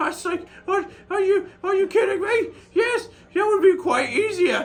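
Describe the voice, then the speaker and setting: A man's squeaky, put-on character voice at an extremely high pitch, moving at a moderate pace. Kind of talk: character vlog monologue. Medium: solo performance. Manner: rambling, hesitant, full of filler words.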